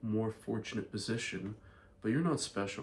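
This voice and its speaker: Somewhat breathy, a man talks with an American accent and fairly even intonation. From Ireland. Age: 20s. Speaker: vlogger and entrepreneur. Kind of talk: casual vlog monologue.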